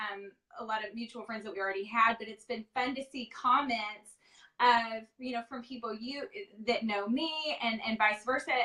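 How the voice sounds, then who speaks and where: Speaking with a Texas accent, a woman with a fairly high pitch keeps a moderate pace and fairly even intonation, with big swings in loudness. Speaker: live interview host. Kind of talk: casual live-stream interview. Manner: many filler ums.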